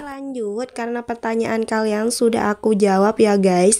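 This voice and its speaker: A woman's fairly high-pitched voice, dark and mellow in tone, fairly slow, with fairly even intonation. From Bondowoso, East Java, Indonesia (Madurese area). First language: Madurese (speaking Indonesian). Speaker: vlogger. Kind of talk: casual vlog talk to viewers. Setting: outdoors washing area, doing laundry. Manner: casual, chatty.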